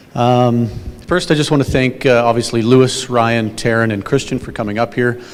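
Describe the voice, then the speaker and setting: This man has a normal speaking voice at medium pitch. He keeps a moderate pace and fairly even intonation. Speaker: company event host. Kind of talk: corporate meeting speech.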